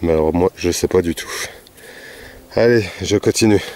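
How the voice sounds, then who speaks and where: Speaking at a moderate pace, a man uses a very deep, low pitch in a dry sound with no echo. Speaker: metal detecting vlogger. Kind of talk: casual vlog narration. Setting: outdoors in a field. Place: farm. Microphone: phone near.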